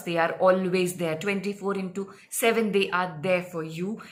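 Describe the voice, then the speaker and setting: A woman with a medium-pitched voice is heard with audible echo from the room. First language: not English. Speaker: spiritual healer and psychic reader. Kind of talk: casual explainer talk to camera. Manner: hesitant, many fillers.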